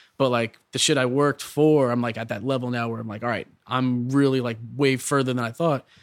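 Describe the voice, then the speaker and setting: A man with a New York accent speaks at a medium pitch in a monotone, flat intonation. His pace is fairly quick, with hardly any pauses. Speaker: hip hop producer and rapper. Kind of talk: casual interview. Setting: studio.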